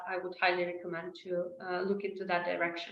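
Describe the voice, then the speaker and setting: The woman talks at a fairly quick pace with medium pitch and fairly even intonation. Room echo is audible. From Ukraine. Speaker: disinformation analyst. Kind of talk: webinar presentation Q&A. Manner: hesitant, many fillers.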